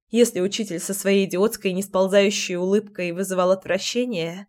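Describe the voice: This plain reading aloud keeps a fairly even intonation throughout.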